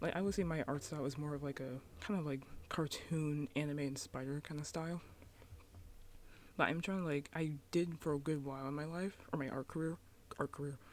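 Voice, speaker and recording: The speaker is soft-spoken and moves at a fairly quick pace. Long pauses come often. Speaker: YouTuber, cartoon artist. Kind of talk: casual vlog talk. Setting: at home. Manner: halting.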